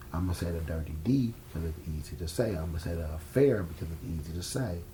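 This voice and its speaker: A man with an American accent has a very deep, low pitch and a dark, mellow, somewhat breathy tone. He talks at a very fast pace with lively intonation, and audible room echo surrounds him. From New York. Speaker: filmmaker. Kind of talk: interview. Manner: casual, blunt; stumbles over words.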